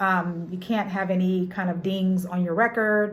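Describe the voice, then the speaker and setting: A woman's medium-pitched voice carries audible echo from the room. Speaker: notary and loan signing agent. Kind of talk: tutorial. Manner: fast; halting.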